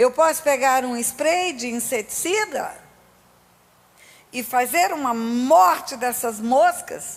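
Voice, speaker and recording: A woman speaks at a high pitch in an animated tone. Her intonation is lively. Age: 60s. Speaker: pastor. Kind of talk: sermon.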